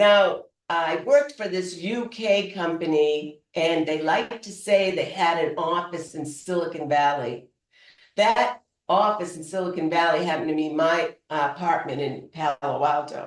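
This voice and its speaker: With a Boston accent, a woman speaks at a fairly low pitch. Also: ordinary pitch variation, moderate pace. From Boston, US. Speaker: public speaker. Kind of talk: humorous storytelling speech.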